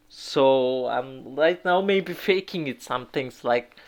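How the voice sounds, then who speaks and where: A man speaks with a non-native accent. He talks at a very slow pace with ordinary pitch variation. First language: not English. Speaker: English learner practicing speaking. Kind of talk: solo monologue practice. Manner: loud; halting. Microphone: phone recording.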